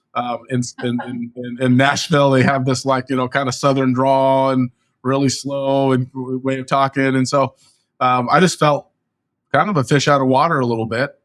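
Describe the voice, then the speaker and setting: In an American accent, a man speaks at a medium pitch with monotone, flat intonation. The recording is very clean, with a silent background. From California. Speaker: real estate agent. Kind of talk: interview. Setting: podcast interview. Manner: fast.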